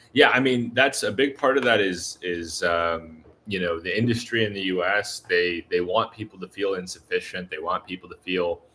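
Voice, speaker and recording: A man with a fairly low pitch and a bright, sharp tone, with an American accent and hardly any pauses. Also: ordinary pitch variation, moderate pace. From US Southeast. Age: 30s. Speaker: YouTuber, expat vlogger. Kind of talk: live stream chat with viewers. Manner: casual, with many fillers.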